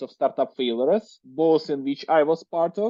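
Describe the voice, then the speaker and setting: A man with a strong Russian accent speaks at a moderate pace in a fairly high pitch. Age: 30s. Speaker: entrepreneur. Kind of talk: podcast interview. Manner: hesitant, many fillers.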